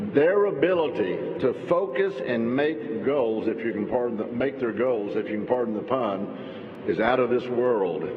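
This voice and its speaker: A man's medium-pitched voice with a Texan accent, lively intonation and a moderate pace, plus noticeable background noise and audible room echo. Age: 60s. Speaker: politician. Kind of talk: speech. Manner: animated.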